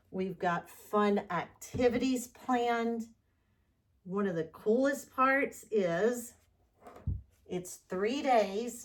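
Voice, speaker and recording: A woman speaks at a very slow pace with a Southern US accent, her fairly high pitch showing ordinary variation between long, frequent pauses. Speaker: fluid art painter, channel host. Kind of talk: tutorial with announcements. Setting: home art studio, far from camera. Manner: loud, raised voice; casual, chatty. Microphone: microphone not plugged in, on camera mic far away.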